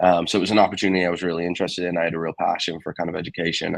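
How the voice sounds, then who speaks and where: A man rattles along at a very fast pace, his very deep, low voice held in monotone, flat intonation. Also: dry, close sound with no echo. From England. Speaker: assistant football coach and science teacher. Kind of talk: interview. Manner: casual, many fillers.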